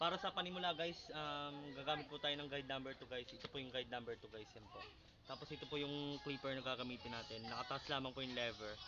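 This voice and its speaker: Over background music, the speaker talks at a very fast pace with ordinary pitch variation. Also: man, fairly high pitch for a man. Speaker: amateur barber vlogger. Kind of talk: casual vlog tutorial. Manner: loud.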